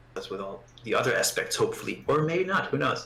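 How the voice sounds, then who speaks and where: The speaker has a non-native accent. The delivery is fairly quick. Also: man. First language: not English. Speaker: guitarist and voice student. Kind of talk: casual interview chat. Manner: halting, many repetitions.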